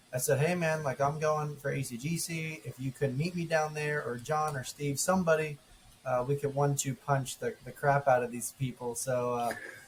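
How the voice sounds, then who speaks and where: Male speech at a fairly high pitch and moderate pace, set against noticeable background noise. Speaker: podcast co-host and golf ambassador. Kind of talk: casual chat. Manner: loud; animated.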